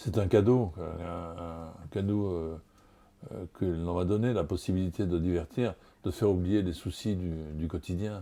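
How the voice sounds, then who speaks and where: In a Marseille accent, a man with a very deep, low pitch and a dark, mellow tone is heard on a very clean recording with a silent background. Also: ordinary pitch variation, fairly slow pace. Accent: southern French (Marseille). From Marseille, France. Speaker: TV and radio host. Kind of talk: interview answer.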